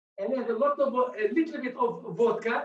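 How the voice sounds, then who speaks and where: The delivery moves at a moderate pace. It comes with a non-native accent. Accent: non-native English, apologises for it. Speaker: bartender. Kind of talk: tutorial. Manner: halting.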